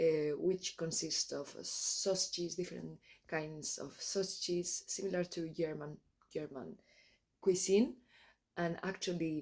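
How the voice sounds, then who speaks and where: At a fairly slow pace, someone speaks in a Spanish accent, leaving long, frequent pauses. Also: woman. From Spain. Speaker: travel vlogger. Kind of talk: travel vlog. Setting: outdoors. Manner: halting.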